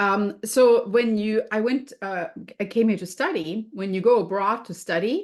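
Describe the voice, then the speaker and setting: A woman's medium-pitched voice moves at a moderate pace with lively intonation. The background is quiet. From Germany. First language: German. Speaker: food and health coach. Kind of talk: podcast interview.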